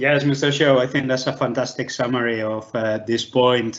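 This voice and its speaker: Here a man speaks with a non-native accent. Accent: foreign accent, permanent. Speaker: law professor. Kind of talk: online lecture Q&A. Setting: live online video session.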